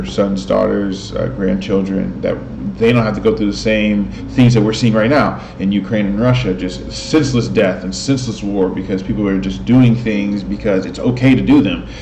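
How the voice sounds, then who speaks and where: Over noticeable background noise, a man talks at a moderate pace with hardly any pauses. His fairly low voice moves in very wide pitch swings. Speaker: host of spiritual talk videos. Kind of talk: casual talk to camera. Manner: hesitant, stuttering at times.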